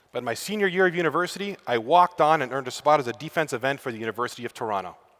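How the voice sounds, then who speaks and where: With crowd noise in the background, a man talks at a very fast pace. His fairly high voice has lively intonation and a slight Canadian accent. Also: long, frequent pauses. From Canada. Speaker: student affairs professional. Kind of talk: conference talk.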